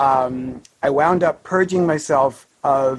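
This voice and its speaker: A man speaks with a normal speaking voice. His pitch is fairly high and his intonation fairly even. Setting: online audio session.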